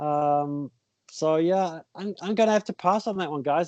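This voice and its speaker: A man talks at a high pitch with ordinary pitch variation. The sound is dry and close, with no echo. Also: quiet background. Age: 50s. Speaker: ultra-runner and coach. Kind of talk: podcast interview. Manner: halting, many fillers and repeats.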